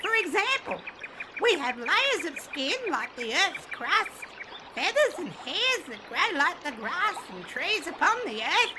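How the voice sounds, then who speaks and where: An extremely high-pitched put-on character voice at a fairly slow pace, with very wide pitch swings and clear background noise. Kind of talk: audiobook narration with character voices. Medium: audio drama.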